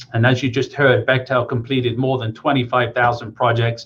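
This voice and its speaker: The voice is somewhat breathy, with an English accent. It moves at a moderate pace. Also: man. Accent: British (English). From England, Coventry (West Midlands). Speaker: engineering project manager. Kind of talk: career talk to students.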